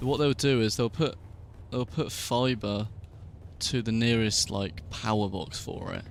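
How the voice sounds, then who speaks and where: This man has a medium pitch and ordinary pitch variation. He speaks at a fairly slow pace. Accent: British. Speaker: gaming streamer. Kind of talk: casual chat. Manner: quiet.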